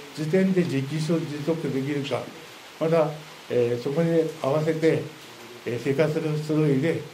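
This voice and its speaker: Amid noticeable background noise and audible room echo, a man talks at a fairly slow pace. His intonation is fairly even. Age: 60s. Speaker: returning evacuee resident. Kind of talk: interview. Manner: halting.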